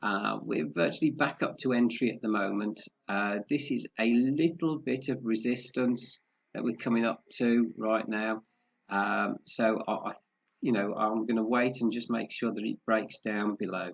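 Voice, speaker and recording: There is vocal fry in this man's medium-pitched voice. He keeps a moderate pace with ordinary pitch variation. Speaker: forex trading analyst. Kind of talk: market analysis tutorial. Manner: halting, many fillers.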